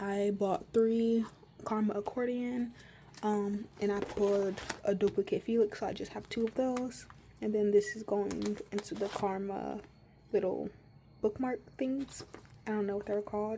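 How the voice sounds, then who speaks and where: At a fairly slow pace with long, frequent pauses, a woman speaks at a medium pitch with fairly even intonation. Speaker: K-pop merch collector YouTuber. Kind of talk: casual collection tour. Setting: at home. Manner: hesitant with fillers.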